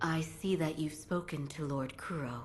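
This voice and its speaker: Over clear background noise, a put-on character voice at middle pitch moves at a moderate pace. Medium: video game. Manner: calm, mild.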